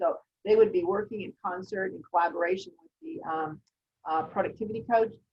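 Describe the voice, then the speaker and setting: A somewhat breathy woman's voice at a fairly high pitch, with very wide pitch swings and a fairly quick pace. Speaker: real estate recruitment presenter. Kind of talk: business webinar presentation. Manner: fast.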